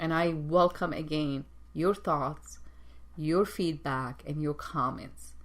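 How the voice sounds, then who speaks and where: A woman speaks at a very slow pace with a non-native accent. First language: not English. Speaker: executive coach and show host. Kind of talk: motivational talk show monologue. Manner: halting, repeats words.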